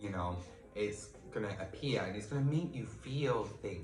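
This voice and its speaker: A man speaks at a fairly slow pace with lively intonation. Noticeable background noise runs underneath. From United Kingdom. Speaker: tarot reader; life coach. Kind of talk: tarot reading talk to camera.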